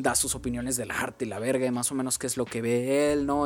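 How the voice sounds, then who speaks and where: A man with a Mexican accent and a medium-pitched voice. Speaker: podcast co-host and editor. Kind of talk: casual chat.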